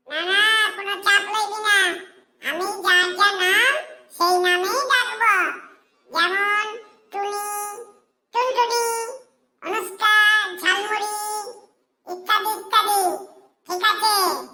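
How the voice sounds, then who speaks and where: A woman does a squeaky, cartoonish character voice at an extremely high pitch. She speaks at a fairly slow pace, with fairly even intonation. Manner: bossy, exclamatory.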